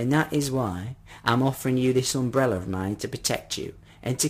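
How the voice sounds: The clip features a natural reading voice.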